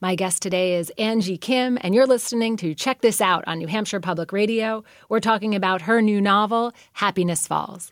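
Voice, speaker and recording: In a very clean recording with a silent background, a woman talks in an unremarkable speaking voice at medium pitch and a moderate pace, with ordinary pitch variation and hardly any pauses. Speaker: radio host and novelist. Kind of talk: interview.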